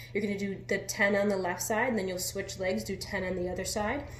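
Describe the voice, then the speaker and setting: A woman's medium-pitched voice, with noticeable background noise and audible room echo. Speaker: fitness coach. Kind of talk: workout tutorial. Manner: quiet, near whisper.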